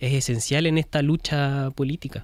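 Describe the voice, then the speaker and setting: With fairly even intonation, the speaker has a plain, everyday voice. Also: man. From Chile. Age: young. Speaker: film director. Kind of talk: interview.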